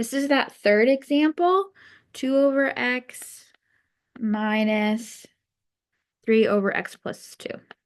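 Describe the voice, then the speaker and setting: A woman with a high pitch speaks at a very slow pace, using ordinary pitch variation. Her speech has long, frequent pauses. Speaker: math teacher. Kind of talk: recorded lesson. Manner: casual, hesitant.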